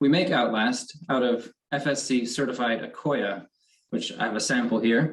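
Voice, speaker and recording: A man speaks with an American accent in an ordinary speaking voice. His pitch is medium, with ordinary pitch variation at a moderate pace. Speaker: company quality manager. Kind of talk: award acceptance speech.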